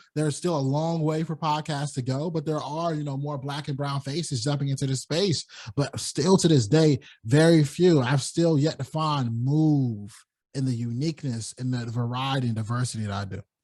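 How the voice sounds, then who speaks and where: Against a quiet background, a man with an American accent speaks in a somewhat breathy, fairly high voice at a moderate pace with ordinary pitch variation. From US South, North Carolina. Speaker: podcaster. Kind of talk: interview conversation.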